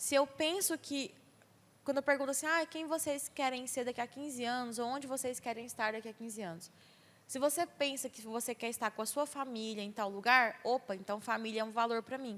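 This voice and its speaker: A high-pitched woman's voice at a fairly quick pace, with ordinary pitch variation and big swings in loudness. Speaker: speaker on mental health at church youth event. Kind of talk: talk to church youth group.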